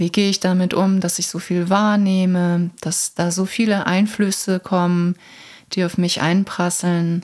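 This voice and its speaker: In a soothing, calm tone, a woman speaks fairly slowly at a medium pitch with monotone, flat intonation. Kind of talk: guided meditation. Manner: slow, soothing, calm.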